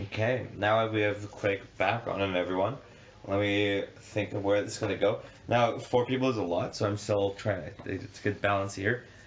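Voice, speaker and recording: A man with a fairly low pitch, moderate pace and monotone, flat intonation. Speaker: podcast host. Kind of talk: casual chat. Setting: indoors in Tel Aviv during a storm.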